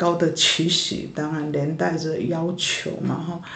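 A woman talks at a very slow pace in a fairly low voice. Noticeable background noise and audible room echo fill the recording. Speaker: church worker, pastor's wife. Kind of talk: interview testimony.

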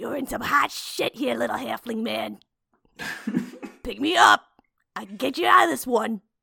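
In a put-on character voice, a female-sounding speaker with fairly high pitch leaves long, frequent pauses. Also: moderate pace. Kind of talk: crude street slang. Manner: tough, street-smart, cocky.

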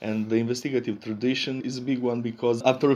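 A man speaks at a fairly quick pace in a Romanian accent. His tone is dark and mellow, with fairly even intonation. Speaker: investigative journalist. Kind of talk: interview.

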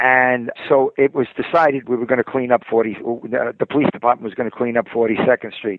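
A man with a New York accent speaks at a medium pitch. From New York City. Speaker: retired police detective. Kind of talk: interview. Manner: halting.

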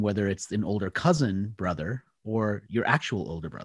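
This man has an unremarkable speaking voice and an American accent, pitched fairly low. He moves at a moderate pace with ordinary pitch variation. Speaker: author and marketing speaker. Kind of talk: interview conversation.

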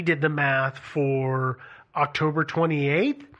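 This man's voice sits fairly high in pitch. He talks at a moderate pace with fairly even intonation. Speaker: co-host. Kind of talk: casual chat. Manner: ends statements with rising, questioning intonation.

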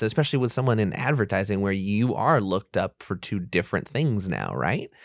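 A man with a plain, everyday voice, fairly low pitch, lively intonation and fairly quick pace, on a very clean recording with a silent background. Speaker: podcast co-host. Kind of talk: casual chat.

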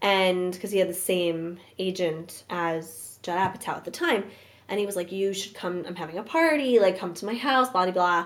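A woman with an American accent and a normal speaking voice, medium in pitch, at a moderate pace. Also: ordinary pitch variation. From Brooklyn, New York. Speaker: actress. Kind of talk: casual chat.

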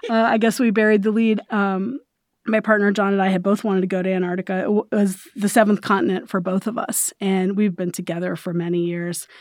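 A woman's ordinary speaking voice at a medium pitch, fairly quick in pace, with fairly even intonation, in a very clean recording with a silent background. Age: 50s. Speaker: news editor. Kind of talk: interview.

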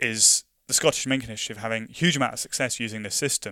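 A very fast man's voice with a London accent, medium in pitch with ordinary pitch variation, bright and sharp in tone, in a very clean recording with a silent background and a dry, close sound with no echo. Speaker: invasive species project officer. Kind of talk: interview. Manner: repeats words often, halting.

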